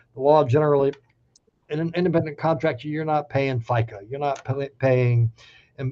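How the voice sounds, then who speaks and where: This man has a Southern US accent and a medium pitch. His intonation stays fairly even. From US South. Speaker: labor law expert speaker. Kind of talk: webinar presentation. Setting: virtual town hall. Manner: fast.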